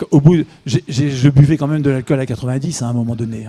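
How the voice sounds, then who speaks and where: A man speaks at medium pitch with a dark, mellow tone. His voice is somewhat breathy, with ordinary pitch variation. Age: 60s. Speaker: author and amateur runner. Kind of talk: interview. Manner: halting, with repetitions and hesitations.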